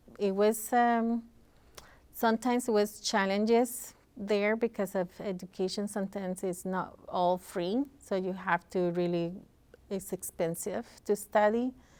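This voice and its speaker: Speaking with a Costa Rican accent, a woman uses a medium pitch, a fairly slow pace, and fairly even intonation. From Costa Rica, San Jose. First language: Spanish. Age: 40s. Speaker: community organization leader. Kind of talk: interview. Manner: halting, many fillers.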